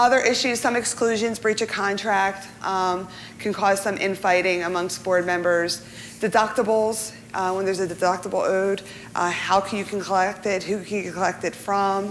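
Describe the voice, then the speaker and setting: Her medium-pitched voice stays monotone, with flat intonation. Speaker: insurance professional panelist. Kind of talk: seminar presentation. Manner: fast.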